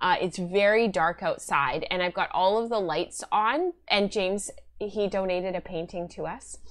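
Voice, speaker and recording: Against a quiet background, a woman speaks at a medium pitch with ordinary pitch variation. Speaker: knitting and spinning podcast host. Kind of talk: casual chat. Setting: live stream. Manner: fast talker. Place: home room.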